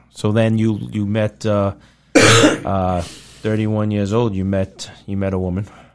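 A man's fairly low voice, monotone and flat, at a fairly slow pace over noticeable background noise. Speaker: podcast host. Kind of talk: casual interview chat.

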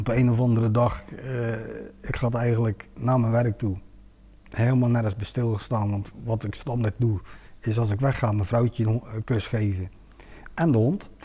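A man speaks in a dark, mellow, somewhat breathy voice. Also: medium pitch for a man, fairly even intonation, moderate pace. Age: 40s. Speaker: home seeker. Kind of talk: testimony in talk show. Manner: halting.

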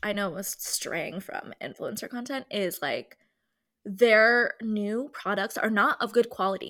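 A woman speaks with a fairly high pitch. Her tone is bright, sharp and animated. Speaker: podcast co-host. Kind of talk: casual chat. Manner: animated, laughs often.

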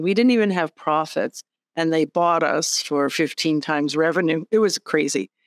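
An ordinary speaking voice, a woman at a fairly low pitch with lively intonation and a moderate pace, dry and close with no echo on a very clean recording with a silent background. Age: 60s. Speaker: executive director and pilot. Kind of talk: interview conversation.

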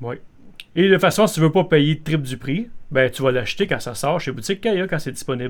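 A man speaks with a Quebec accent at a fairly quick pace. His fairly high voice has lively intonation. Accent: Québécois French. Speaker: podcast co-host. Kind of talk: casual chat.

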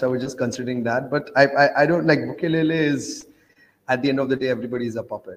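The man has a medium pitch and fairly even intonation. He talks at a very fast pace. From India, grew up in Oman. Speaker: traveler promoting Bitcoin. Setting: call from Kenya.

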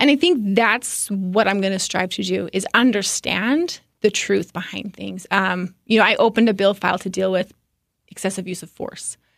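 A woman speaks with vocal fry and big swings in loudness. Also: medium pitch for a woman, ordinary pitch variation, moderate pace, very clean recording, silent background. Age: 30s. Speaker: state politician and sports referee. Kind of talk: casual interview.

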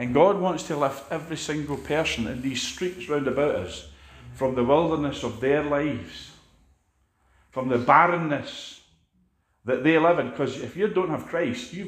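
With a Scottish accent, the speaker moves at a moderate pace with ordinary pitch variation and long, frequent pauses. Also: man. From Scotland. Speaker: preacher. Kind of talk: sermon. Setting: church.

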